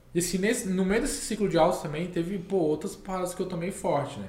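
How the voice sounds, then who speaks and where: Audible room echo surrounds the speech. It comes from a man at a moderate pace. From Minas Gerais, Brazil. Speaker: crypto community founder. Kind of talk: podcast interview.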